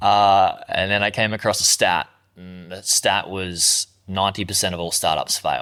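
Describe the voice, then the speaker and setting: On a very clean recording with a silent background, a man with an Australian accent speaks at a moderate pace, his loudness swinging widely. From Australia, Gold Coast. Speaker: online entrepreneur, former plumber. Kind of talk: interview.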